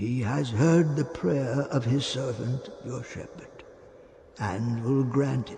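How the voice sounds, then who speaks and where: At a fairly slow pace, a man uses a put-on character voice of medium pitch with ordinary pitch variation. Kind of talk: biblical sermon. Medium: read story. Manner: solemn, preacher-like, measured.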